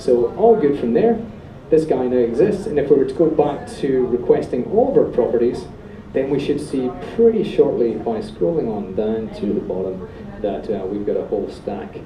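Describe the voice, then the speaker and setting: Speech in a Scottish accent swings very widely in pitch, with audible room echo and noticeable background noise. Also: man, fairly high pitch for a man. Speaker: software developer, meetup speaker. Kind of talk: technical presentation with live demo. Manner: fast; animated.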